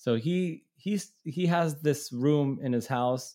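With a dark, mellow tone and lively intonation, a man speaks on a very clean recording with a silent background. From Israel, childhood in Brooklyn, New York. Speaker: punk musician. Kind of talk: casual chat. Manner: halting, many fillers and repetitions.

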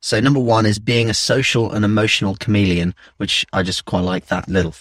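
A man's plain, everyday voice at a fairly low pitch with ordinary variation, the sound dry and close with no echo. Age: 20s. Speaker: film producer. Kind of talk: casual chat.

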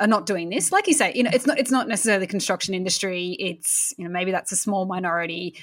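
A woman with an Australian accent, in a very clean recording with a silent background. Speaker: podcast host and publisher. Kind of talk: casual chat and interview.

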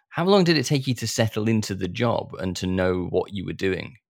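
A plain, everyday voice carries lively intonation at a moderate pace on a very clean recording with a silent background. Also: man. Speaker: podcast host. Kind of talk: interview.

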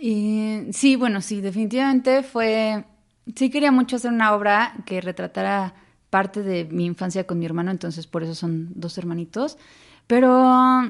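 Against a quiet background, a woman speaks in a Mexican accent at a fairly high pitch with lively intonation. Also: moderate pace. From Xalapa, Veracruz, Mexico. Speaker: theatre director and playwright. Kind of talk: interview conversation. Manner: animated.

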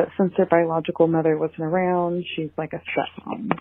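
Here a woman with an unremarkable speaking voice talks at a fairly low pitch and a moderate pace. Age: 20s. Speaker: listener leaving voicemail. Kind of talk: voicemail question. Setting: phone voicemail.

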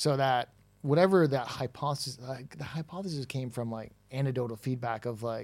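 A man with a normal speaking voice talks at a fairly quick pace, his medium pitch showing ordinary variation, recorded very cleanly with a silent background. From Toronto, Canada. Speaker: recruitment tech founder. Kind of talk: casual interview chat. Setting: in person, live event.

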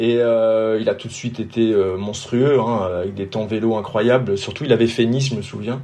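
In a room with audible echo and noticeable background noise, a man speaks at medium pitch in a flat monotone, at a moderate pace with hardly any pauses. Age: 50s. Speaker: triathlon race organizer, former pro cyclist. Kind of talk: casual interview. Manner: halting, frequent repetitions.

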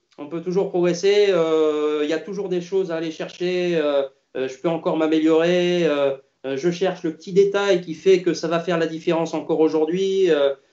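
A man with a high pitch and monotone, flat intonation. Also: moderate pace. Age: 50s. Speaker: tennis coach. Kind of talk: interview. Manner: halting.

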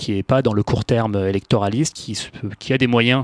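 With fairly even intonation, a man talks at medium pitch, the sound dry and close with no echo on a very clean recording with a silent background. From Paris, France. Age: 30s. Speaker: sustainability consultant. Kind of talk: interview. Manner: halting, many fillers.

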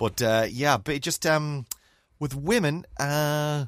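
A man's fairly high voice with an Irish accent at a very slow pace, on a very clean recording with a silent background. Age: 40s. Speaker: podcast co-host. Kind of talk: casual chat.

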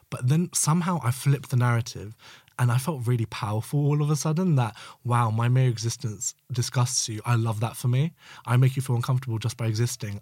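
The voice is somewhat breathy and moves at a very fast pace with ordinary pitch variation. The recording is very clean, with a silent background. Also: man, medium pitch for a man. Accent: London. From East London. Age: 20s. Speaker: community member. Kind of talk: casual chat.

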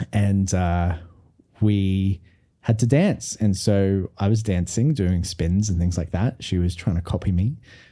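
The voice has a dark, mellow tone and an Australian accent, with very even loudness at a fairly slow pace. The recording is very clean with a silent background. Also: man, very deep, low pitch for a man, ordinary pitch variation. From Australia, Brisbane. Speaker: musical theatre performer. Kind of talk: casual chat. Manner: animated.

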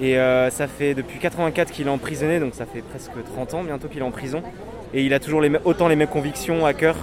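A man at a fairly high pitch and fairly quick pace, his intonation fairly even, with noticeable background noise. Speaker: activist. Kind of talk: street interview. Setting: outdoors. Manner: fast, casual.

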